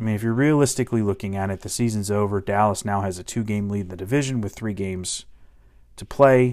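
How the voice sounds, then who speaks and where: Talking at a fairly quick pace, a man with an American accent and a fairly low pitch shows ordinary pitch variation and big swings in loudness. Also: very clean recording, silent background. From Washington DC area. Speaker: sports podcast host. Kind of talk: solo sports commentary podcast. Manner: animated.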